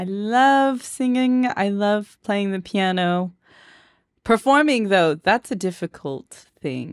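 A woman's medium-pitched voice in a Southern California accent, playful in tone with lively intonation at a fairly slow pace, on a very clean, silent-background recording with a dry, close sound and no echo. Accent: Southern California Valley Girl. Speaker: podcast host. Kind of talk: casual chat. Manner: laughs often, playful.

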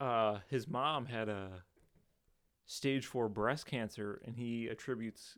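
The recording is very clean with a silent background, carrying a man's medium-pitched voice, an unremarkable speaking voice with ordinary pitch variation. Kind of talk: casual chat.

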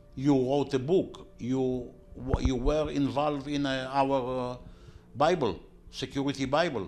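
Music plays behind a man speaking at a fairly slow pace. His pitch is medium and his intonation fairly even. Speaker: security academy founder. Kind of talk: interview. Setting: at his home.

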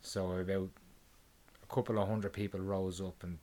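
A man's fairly low voice with an Irish accent at a moderate pace, on a very clean recording with a silent background. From Ireland. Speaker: podcast co-host. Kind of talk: casual chat. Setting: home recording. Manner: halting.

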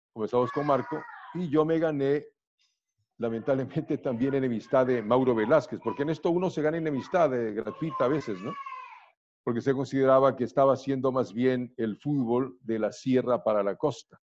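In a coastal Ecuadorian accent, a man talks at a moderate pace with medium pitch and ordinary pitch variation. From Ecuador, Riobamba, raised in Guayaquil and Quito. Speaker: radio announcer and sports commentator. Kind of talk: interview.

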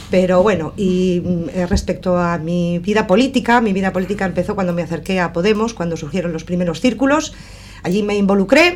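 A woman speaks at a fairly quick pace in a medium pitch, with ordinary pitch variation and noticeable background noise. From Basque Country, Sestao (Biscay). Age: 60s. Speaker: councillor and election candidate. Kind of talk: radio election debate. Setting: radio studio.

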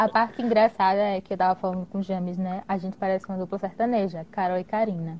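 Hardly pausing, a woman rushes along at a very fast pace in a medium pitch with monotone, flat intonation. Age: 20s. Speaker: guest, dentistry student and partner of host. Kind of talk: casual live chat. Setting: live video stream. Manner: nervous at first, joking.

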